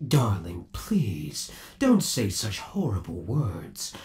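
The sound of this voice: A man uses a put-on character voice, pitched fairly low, with very wide swings in pitch. He talks at a slow pace in a slightly mellow tone.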